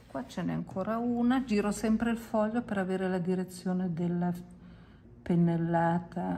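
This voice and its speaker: At a moderate pace, a woman with a medium pitch and a dark, mellow tone talks with ordinary pitch variation. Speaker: watercolour teacher. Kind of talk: tutorial. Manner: casual, chatty.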